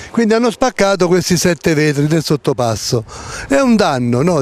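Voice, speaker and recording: Recorded dry with no echo, a man with a high pitch talks at a fairly quick pace. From Campania, Italy. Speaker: local TV presenter. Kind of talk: commentary. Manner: animated. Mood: indignant, sarcastic.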